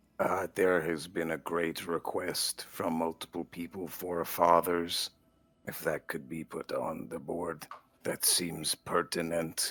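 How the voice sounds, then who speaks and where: In a put-on character voice, the speaker delivers lines in a deadpan tone at a fairly slow pace. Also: man, very deep, low pitch for a man. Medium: actual play. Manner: deadpan, formal, literal.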